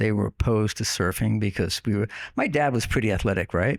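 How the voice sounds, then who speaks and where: In a very clean recording with a silent background, a man speaks with an American accent. His pitch is fairly low, with vocal fry, at a moderate pace. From US Northeast, Long Island, New York. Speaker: online radio host, podcast guest. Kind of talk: casual interview, storytelling. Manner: conversational with fillers.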